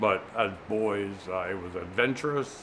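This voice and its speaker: A man speaks with an American accent at a fairly low pitch. Audible room echo surrounds his voice. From US Virgin Islands, St. Thomas (Frenchtown). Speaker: museum manager, community board member. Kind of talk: oral history interview. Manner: hesitant, many fillers.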